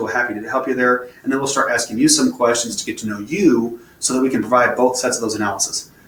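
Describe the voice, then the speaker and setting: A man at a medium pitch and a very fast pace, with noticeable background noise. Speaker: financial advisor. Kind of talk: webinar presentation. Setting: online webinar from computer. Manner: animated.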